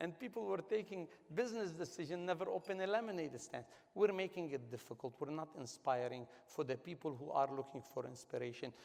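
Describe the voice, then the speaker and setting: A non-native accent with an animated tone, very wide pitch swings and a fairly quick pace. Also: man, fairly high pitch for a man. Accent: foreign. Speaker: business executive and award honoree. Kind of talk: panel discussion. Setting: stage with audience at a gala. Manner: animated, emphatic.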